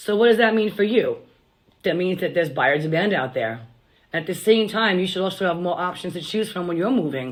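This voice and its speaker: Using an ordinary speaking voice, a woman at medium pitch talks at a fairly quick pace with lively intonation. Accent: American. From Long Island, New York. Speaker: realtor. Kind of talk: scripted sales pitch.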